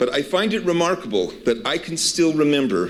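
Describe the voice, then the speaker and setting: Speaking at a moderate pace, a man talks with vocal fry. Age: 60s. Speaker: university administrator. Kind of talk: welcome speech.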